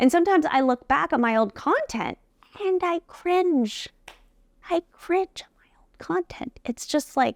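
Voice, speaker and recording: Speaking with a non-native accent, a woman talks at a fairly slow pace in a high voice with lively intonation and an animated tone. Her loudness swings widely, and the sound is dry and close with no echo. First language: not English. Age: 40s. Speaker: beauty entrepreneur and podcast host. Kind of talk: talk to camera.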